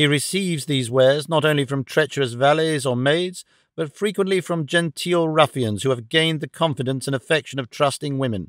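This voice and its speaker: The sound is dry with no echo as a man speaks at a moderate pace with ordinary pitch variation over a quiet background. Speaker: audiobook narrator. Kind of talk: audiobook reading of a novel.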